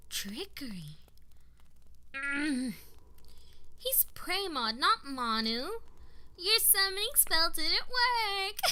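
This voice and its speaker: A woman puts on a character voice at an extremely high pitch, with very wide pitch swings. She goes at a very slow pace with long, frequent pauses. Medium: audio drama.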